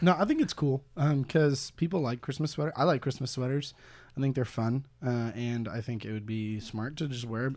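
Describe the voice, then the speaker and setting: In a normal speaking voice, a man with a General American accent talks at a moderate pace, with medium pitch and ordinary pitch variation. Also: very clean recording, silent background. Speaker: guest, former college radio host. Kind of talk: casual comedy chat. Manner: jokey, playful.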